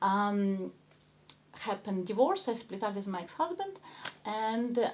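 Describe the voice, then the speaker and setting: A woman speaks with a strong Ukrainian accent. She leaves long, frequent pauses. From Ukraine. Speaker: actress. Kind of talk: interview chat.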